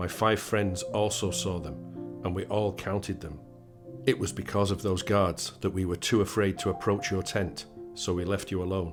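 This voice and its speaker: Over music in the background, a man speaks at a moderate pace with a very deep, low pitch. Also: lively intonation. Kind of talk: prayer reading.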